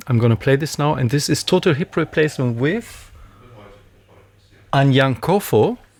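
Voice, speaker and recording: A man with a German accent speaks in a fairly high pitch with lively intonation. His speech has long, frequent pauses. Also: moderate pace. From Germany. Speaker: reggae radio DJ and host. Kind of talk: casual interview; radio presenting. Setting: radio studio. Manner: animated, halting with fillers.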